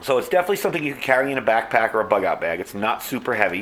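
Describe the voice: Over audible room echo, a man talks at a fairly quick pace in a medium pitch, his tone fairly bright and his pitch variation ordinary.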